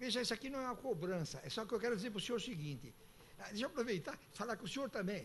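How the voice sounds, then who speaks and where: A man's high-pitched, animated voice at a very fast pace, with lively intonation. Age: 80s+. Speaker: retired citizen speaking at public hearing. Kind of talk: public hearing complaint. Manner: animated, insistent.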